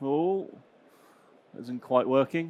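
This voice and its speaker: A man at medium pitch with a West Country accent, on a very clean recording with a silent background. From southwest England, Gloucestershire. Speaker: cybersecurity manager. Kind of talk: conference talk. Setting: stage with audience. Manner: fast; hesitant, many fillers.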